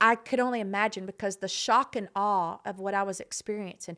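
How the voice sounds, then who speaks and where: In a very clean recording with a silent background, a woman with a Texas accent speaks at medium pitch in an animated tone. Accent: Texas Southern US. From Southeast Texas. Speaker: non-profit founder. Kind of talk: podcast interview, personal story.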